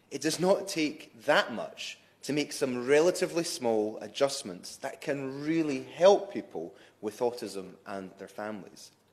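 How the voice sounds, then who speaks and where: A man with a fairly high pitch speaks at a fairly slow pace, with very wide pitch swings and big swings in loudness. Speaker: member of parliament. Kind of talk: parliamentary debate speech.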